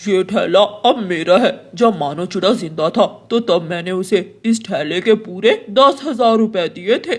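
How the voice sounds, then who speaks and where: A cartoonish character voice at a fairly high pitch, fairly slow pace and hardly any pauses. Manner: gruff, bullying.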